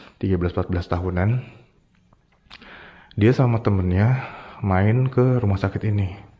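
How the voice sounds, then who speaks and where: A man with a dark, mellow tone and a fairly low pitch talks very fast, using ordinary pitch variation. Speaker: ghost-hunting vlogger. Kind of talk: casual storytelling vlog. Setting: outdoors at night, abandoned hospital. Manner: casual slangy.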